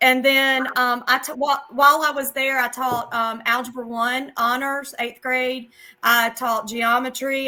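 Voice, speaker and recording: Her voice high, bright and sharp, a woman with a South Carolina accent talks at a fairly slow pace with monotone, flat intonation and hardly any pauses. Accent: Southern US (South Carolina). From US South, South Carolina. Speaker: math teacher. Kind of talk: casual interview.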